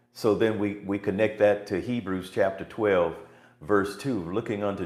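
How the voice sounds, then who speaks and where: A man speaks at a moderate pace with a fairly low pitch. His voice carries audible room echo. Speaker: preacher. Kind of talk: sermon.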